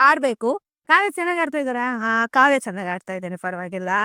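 A raised, projected voice with a bright, sharp tone and very wide pitch swings comes through in a very clean recording with a silent background and a dry, close sound with no echo. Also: woman. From coastal Karnataka (Udupi, Kundapura). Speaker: Bigg Boss viewer interviewed by reporters. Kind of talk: street interview.

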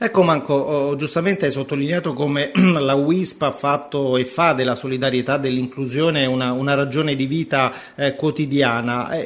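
Fairly even intonation at a moderate pace, from an ordinary speaking voice. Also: man, fairly high pitch for a man. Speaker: radio host. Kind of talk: radio show. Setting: studio.

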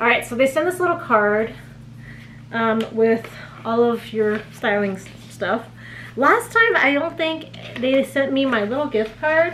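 A woman's fairly slow, lively intonation broken by long, frequent pauses over light background noise. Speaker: vlogger. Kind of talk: casual vlog chat. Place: home room.

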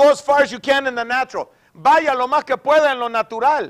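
The speaker has an animated tone and lively intonation at a fairly slow pace. The background is quiet. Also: man. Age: 60s. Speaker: pastor. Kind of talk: sermon. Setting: church. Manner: repetitive code-switching. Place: church.

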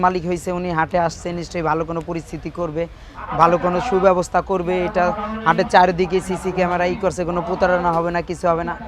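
Noticeable background noise accompanies a man speaking in a high pitch. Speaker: cattle trader. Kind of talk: interview.

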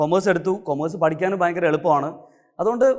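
Speaking at a high pitch, a man uses ordinary pitch variation. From Kerala, Kannur district. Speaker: chartered accountant and teacher. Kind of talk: motivational talk.

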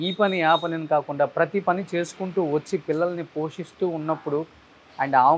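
A man speaks in an unremarkable speaking voice at a fairly high pitch. His intonation stays fairly even. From Andhra Pradesh, Guntur; Andhra Pradesh. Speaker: video interviewer. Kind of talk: casual interview. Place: garage. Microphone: lapel.

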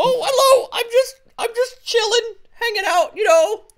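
Someone does a put-on character voice at an extremely high pitch and a fairly slow pace. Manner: relaxed, chilled out, cheery.

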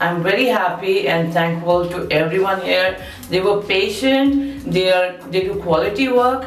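There is light background noise and audible room echo as a woman speaks at a moderate pace with ordinary pitch variation. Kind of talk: testimonial interview answer. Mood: grateful, warm, some laughter.

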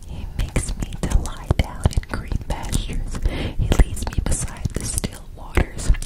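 Whispering at a very slow pace, a woman keeps a calm tone. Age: 20s. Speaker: ASMR creator. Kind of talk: ASMR Bible reading. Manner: soft, calm, relaxing. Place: home room. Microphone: studio mic.

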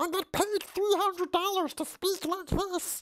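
This is a put-on character voice with an extremely high pitch. It moves at a very slow pace.

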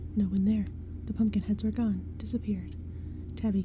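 Reading in a natural voice

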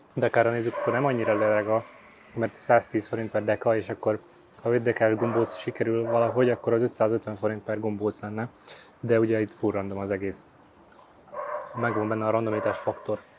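A man talks at a fairly quick pace yet leaves long, frequent pauses. The sound is dry with no echo, and there is noticeable background noise. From Hungary. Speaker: YouTuber, food reviewer. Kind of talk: casual vlog, food tasting. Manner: animated. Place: street. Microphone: phone near.

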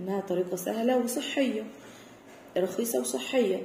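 A woman speaks in an Egyptian accent, her pitch fairly high, at a moderate pace with ordinary pitch variation. There's audible room echo and light background noise. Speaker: English teacher. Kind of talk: tutorial. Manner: explanatory, code-switching between Arabic and English. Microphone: phone near.

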